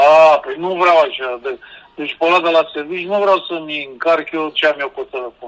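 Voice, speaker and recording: A man with a normal speaking voice, fairly high-pitched, with fairly even intonation at a moderate pace. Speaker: guest with a tech problem.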